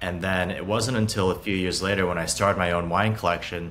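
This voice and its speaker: Over light background noise, a man talks at a fairly quick pace in a very deep, low pitch, his tone bright and sharp and his intonation fairly even. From Hong Kong and Beijing, China. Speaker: startup founder and CEO. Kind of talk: interview. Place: home room.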